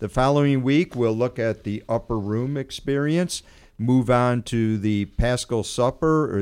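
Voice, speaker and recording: This man has an unremarkable speaking voice, with a medium pitch and a moderate pace. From USA. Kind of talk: radio talk on faith.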